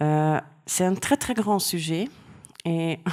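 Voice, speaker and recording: The recording is very clean, with a silent background. A woman with a fairly low voice speaks very slowly, her pitch varying in an ordinary way. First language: Hungarian (speaking French). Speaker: art historian. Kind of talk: lecture. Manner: halting.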